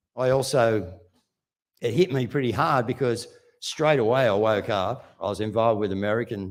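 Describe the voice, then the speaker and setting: A man with an Australian accent speaks at a moderate pace and medium pitch, with ordinary pitch variation. The recording is very clean, with a silent background. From Australia, Wollongong. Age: 60s. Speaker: activist speaker. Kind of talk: speech to live audience. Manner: animated.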